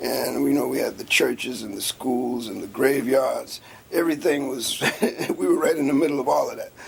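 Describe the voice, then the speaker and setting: Noticeable background noise runs under this recording. A man with an American accent speaks at a fairly quick pace. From US South, coastal Georgia (Riceboro near Savannah). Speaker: labor and civil rights activist. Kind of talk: oral history interview.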